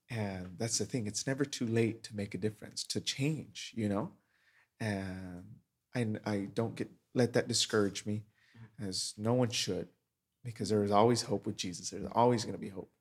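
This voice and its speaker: A man with a plain, everyday voice, fairly low in pitch, at a moderate pace with fairly even intonation. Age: 20s. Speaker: youth ministry leader. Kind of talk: casual chat.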